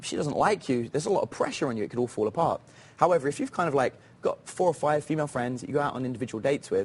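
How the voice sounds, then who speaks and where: A man with a British accent talks very fast. His fairly high voice has lively intonation. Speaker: dating coach. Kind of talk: TV interview. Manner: casual, with fillers.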